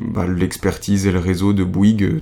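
The speech moves at a moderate pace with fairly even intonation, and background noise is noticeable. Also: man. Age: 20s. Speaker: economic attaché for innovation. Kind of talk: interview. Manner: hesitant, many fillers.

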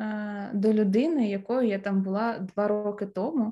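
The speech moves at a very slow pace. Pitch variation is ordinary. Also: woman. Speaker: podcast guest. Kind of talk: casual chat.

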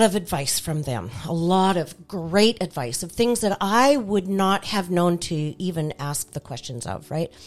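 In a normal speaking voice, the delivery moves at a moderate pace with lively intonation. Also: woman. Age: middle-aged. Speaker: author. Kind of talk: casual interview chat.

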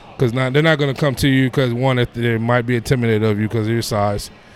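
A man with an American accent, fairly even intonation, and noticeable background noise. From New York. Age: 30s. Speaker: personal trainer. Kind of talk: casual interview. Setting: gym.

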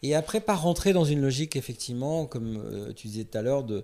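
Captured in a very clean recording with a silent background, a man speaks with a dark, mellow tone at a medium pitch. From France, Paris suburbs. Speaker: film director. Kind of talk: interview.

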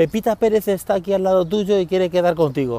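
A man speaks with ordinary pitch variation. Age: 40s. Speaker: tech podcaster. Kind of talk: casual monologue. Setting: outdoors. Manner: fast.

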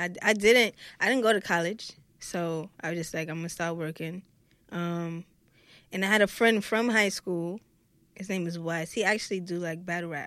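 In a Brooklyn accent, a woman speaks at a moderate pace with a fairly low pitch and fairly even intonation, recorded very cleanly against a silent background. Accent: New York, Brooklyn. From Brooklyn, New York. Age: 20s. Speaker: rapper. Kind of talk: casual chat.

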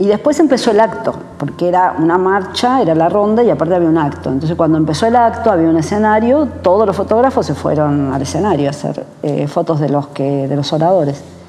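A woman with a fairly low voice talks at a fairly quick pace, with hardly any pauses and lively intonation. Noticeable noise sits in the background. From Argentina, Buenos Aires. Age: 60s. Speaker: photographer. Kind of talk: interview testimony.

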